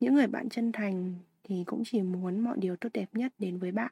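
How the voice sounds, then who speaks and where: A woman speaks at a medium pitch and a moderate pace with ordinary pitch variation and a dark, mellow, somewhat breathy tone. The sound is dry and close, with no echo. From Vietnam. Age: 20s. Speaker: podcast host. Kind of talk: personal monologue podcast.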